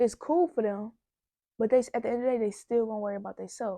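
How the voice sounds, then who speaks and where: This woman speaks in a dark, mellow tone, and her pitch variation is ordinary. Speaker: vlogger giving relationship advice. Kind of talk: casual vlog monologue. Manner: stuttering at times.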